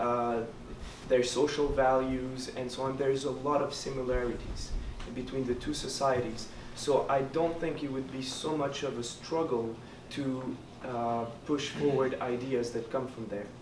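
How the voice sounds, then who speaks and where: Over noticeable background noise and audible room echo, a man speaks with a Quebec accent at a medium pitch. His delivery is fairly slow, with monotone, flat intonation. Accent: Québécois French accent in English. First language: French. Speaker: student election candidate. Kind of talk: debate answer. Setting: hall with audience. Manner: halting.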